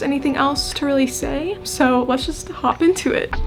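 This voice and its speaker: A high-pitched woman's voice with an American accent at a moderate pace, music in the background. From Iowa. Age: 20s. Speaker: college student vlogger. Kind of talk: casual vlog tour. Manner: casual.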